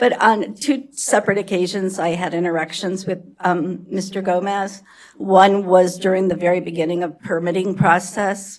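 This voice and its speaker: This is a put-on character voice with a raspy sound. It moves at a moderate pace. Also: woman, medium pitch for a woman. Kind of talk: formal public comment.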